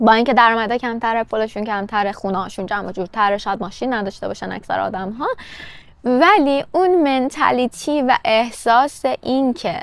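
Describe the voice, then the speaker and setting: A woman speaks at a moderate pace in a fairly high voice with lively intonation. The sound is dry, with no echo. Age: 30s. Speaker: vlogger. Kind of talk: casual vlog monologue. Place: garden. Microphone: lapel.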